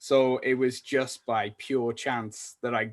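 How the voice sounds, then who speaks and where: Here a man speaks with a North Welsh accent in a medium pitch. The background is quiet. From North Wales. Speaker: salesperson. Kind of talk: podcast interview. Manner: halting.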